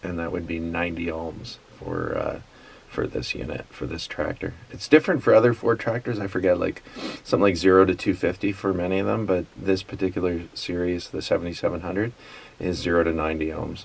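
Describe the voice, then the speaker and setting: A man mumbles at a very deep, low pitch. His pitch variation is ordinary. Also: fairly quick pace. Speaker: tractor repair hobbyist. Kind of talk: casual how-to talk to camera. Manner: mumbling, halting.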